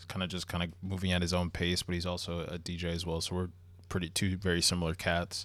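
On a very clean recording with a silent background, a man with an American accent talks very fast in a very deep, low pitch with monotone, flat intonation. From US Northeast (Long Island, New York). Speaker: DJ and streamer. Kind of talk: casual chat.

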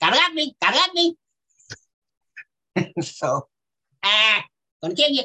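Someone performs a put-on character voice. The pitch is high. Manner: menacing.

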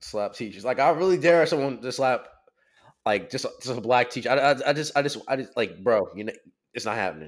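A man with an unremarkable speaking voice talks fairly quickly at a medium pitch with ordinary variation, on a very clean recording with a silent background. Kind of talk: casual chat. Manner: casual, profane slang.

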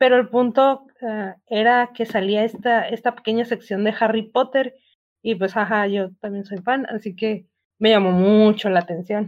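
Rather slow delivery in an unremarkable speaking voice, its intonation fairly level. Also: woman, fairly high pitch for a woman. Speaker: podcast guest. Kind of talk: casual chat.

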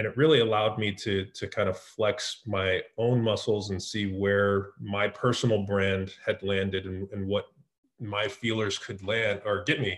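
The voice is somewhat breathy, with fairly even intonation and a fairly slow pace. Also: man, fairly low pitch for a man. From US West Coast (San Francisco Bay Area). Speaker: marketing executive. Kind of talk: interview.

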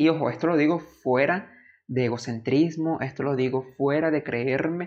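Fairly even intonation from a man at a medium pitch and a moderate pace. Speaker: podcast host. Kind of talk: storytime narration, personal testimony. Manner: earnest, emotional, nostalgic; emphatic, repetitive, motivational.

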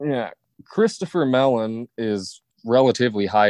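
Recorded dry and close with no echo over a quiet background, a man speaks at a medium pitch with ordinary pitch variation in an unremarkable speaking voice. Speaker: podcast co-host. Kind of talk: casual chat.

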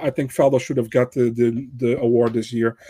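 This man speaks with a Dutch accent in a dark, mellow tone, captured in a dry, close sound with no echo. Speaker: MMA pundit. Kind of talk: casual chat. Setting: remote call.

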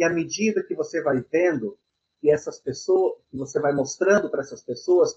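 At a moderate pace, a man is speaking. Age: 50s. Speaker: Umbanda priest and software engineer. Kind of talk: interview.

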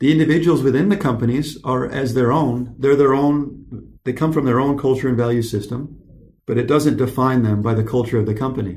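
A somewhat breathy voice speaks with an American accent and ordinary pitch variation. Audible room echo surrounds it. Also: man, medium pitch for a man, fairly quick pace. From US, California then Michigan. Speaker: podcast host. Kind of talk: casual chat.

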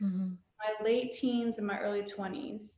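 An unremarkable speaking voice with an American accent, fairly even intonation and a fairly slow pace. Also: woman. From US South. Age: 30s. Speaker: mental health counselor and spiritual community founder. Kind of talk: casual chat.

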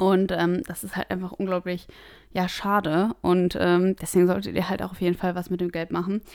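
A woman's normal speaking voice at medium pitch and moderate pace, fairly even intonation, on a very clean recording with a silent background. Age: 20s. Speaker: personal finance podcast host. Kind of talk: solo podcast monologue.

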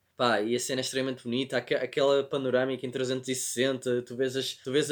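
Moderately paced speech in a European Portuguese accent runs with hardly any pauses and monotone, flat intonation. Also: man. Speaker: podcast co-host, film and series reviewer. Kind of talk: casual chat.

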